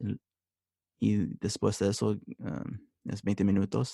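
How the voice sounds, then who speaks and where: A man with an English accent speaks with fairly low pitch and a dark, mellow tone. His voice has vocal fry and sounds dry and close with no echo. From United States. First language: English (speaking Spanish). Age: 20s. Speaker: religious brother, seminarian. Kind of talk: interview. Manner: halting, many hesitations.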